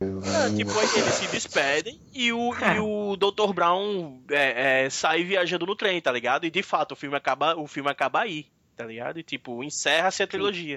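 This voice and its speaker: A man's high-pitched voice with very wide pitch swings and hardly any pauses. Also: moderate pace. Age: 30s. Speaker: podcast co-host. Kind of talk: casual chat.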